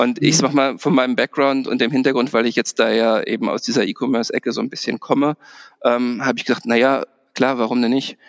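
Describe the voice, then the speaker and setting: A man talks at a very fast pace in a medium pitch, his intonation fairly even and the sound dry and close with no echo. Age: 40s. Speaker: bank manager. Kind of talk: interview. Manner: hesitant, many fillers.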